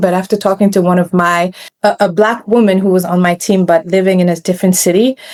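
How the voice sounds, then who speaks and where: A woman speaks with a non-native accent. Her pace is fairly quick. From West Africa. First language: not English. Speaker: programmatic media buyer. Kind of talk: podcast interview. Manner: casual, halting with self-corrections.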